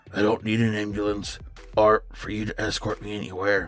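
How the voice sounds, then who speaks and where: A man puts on a raspy character voice with a fairly low pitch. Faint music plays in the background. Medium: read story. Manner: courteous, measured, faintly condescending.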